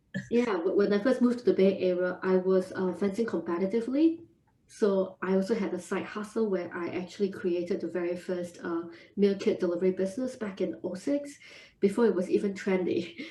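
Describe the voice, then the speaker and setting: A woman's somewhat breathy, medium-pitched voice with a dark, mellow tone, a Singaporean accent, ordinary pitch variation and a fairly quick pace. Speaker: food entrepreneur. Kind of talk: podcast interview.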